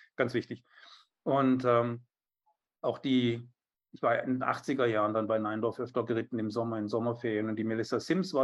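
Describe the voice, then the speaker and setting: Against a quiet background, a man talks at a moderate pace. His medium-pitched voice is monotone and flat. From southern Germany, Biberach an der Riss (Swabia). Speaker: riding instructor and author. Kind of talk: casual interview. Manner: hesitant, many fillers and repetitions.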